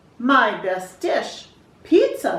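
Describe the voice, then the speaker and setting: There is a slight echo as a woman does a put-on character voice at an extremely high pitch. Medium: read story.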